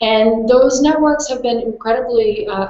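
Audible room echo is present. The voice belongs to a woman. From Portland, Maine; Maine. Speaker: policy researcher and author; panelist. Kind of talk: panel discussion. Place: home room. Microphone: video call.

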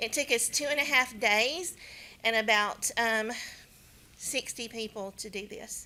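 A woman with a Southern US accent, a bright, sharp tone, and ordinary pitch variation, at a fairly slow pace broken by long, frequent pauses. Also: fairly high pitch for a woman. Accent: southern twang. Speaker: county elections official. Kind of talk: presentation at county board meeting.

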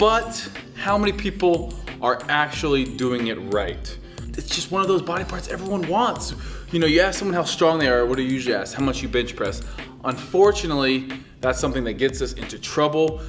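This man's fairly quick speech is accompanied by clear music in the background. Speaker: fitness coach. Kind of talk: tutorial. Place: classroom.

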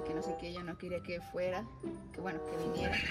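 Loud music fills the background. Over it, a woman talks. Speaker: guest. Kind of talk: prank phone call, acted emotional story. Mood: feigned sadness, suppressed laughter. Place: car. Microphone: phone near.

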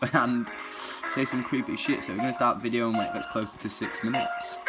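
Fairly quick speech with clear music in the background. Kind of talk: casual banter. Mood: excited, nervous joking. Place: home room. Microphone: phone near.

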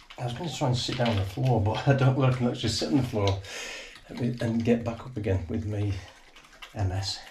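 A man talks at a very fast pace with ordinary pitch variation against noticeable background noise. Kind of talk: casual talk to an animal. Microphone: camera far.

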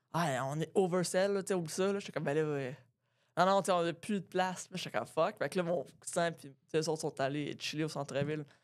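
Against a quiet background, a woman speaks at a fairly quick pace and a fairly low pitch, with ordinary pitch variation. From Quebec. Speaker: comedian and podcast co-host; podcast co-host, comedian. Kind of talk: casual chat. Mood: relaxed, amused storytelling. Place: studio. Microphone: studio mic.

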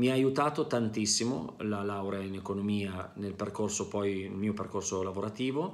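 Moderate-paced speech from a fairly low-pitched man, with hardly any pauses and ordinary pitch variation. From northern Italy, province of Pavia; northern Italy. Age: 40s. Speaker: business manager, former student. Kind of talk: testimony. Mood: positive, earnest. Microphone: webcam.

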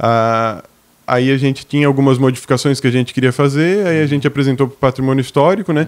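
Pitch varies in an ordinary way as the words come out very fast. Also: man. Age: 20s. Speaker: café owner and pastry chef; guest. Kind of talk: interview. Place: studio. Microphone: studio mic.

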